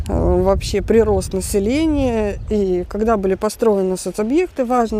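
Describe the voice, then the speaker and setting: A woman talks at medium pitch. Noticeable background noise runs underneath. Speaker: vlogger. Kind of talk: casual vlog commentary. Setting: outdoors at the beach.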